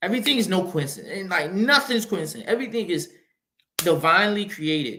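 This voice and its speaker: A man with a high pitch and an American accent, his raised, projected voice bright and sharp in tone, at a very fast pace. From Mississippi, US South. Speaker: podcast host. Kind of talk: motivational monologue. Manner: repetitive, halting.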